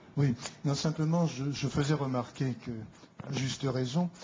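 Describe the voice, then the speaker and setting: Noticeable background noise accompanies a man at medium pitch. He talks at a fairly slow pace with ordinary pitch variation. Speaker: audience member. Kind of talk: question to politician.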